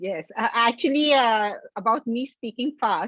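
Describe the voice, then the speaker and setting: In a quiet setting with a dry, close sound and no echo, a woman speaks at a moderate pace in an ordinary speaking voice, fairly high in pitch with lively intonation. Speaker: club meeting host. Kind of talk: casual chat.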